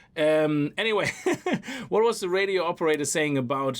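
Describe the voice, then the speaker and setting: With a non-native accent and an animated tone, a man speaks at a fairly high pitch and a fairly quick pace over noticeable background noise. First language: not English. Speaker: gaming YouTuber. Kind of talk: let's play commentary. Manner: casual, animated.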